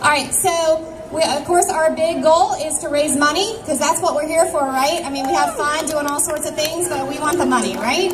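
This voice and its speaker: A woman's loud, high voice at a fairly quick pace with hardly any pauses, plus audible room echo and noticeable background noise. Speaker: event organizer. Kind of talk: event announcements to crowd.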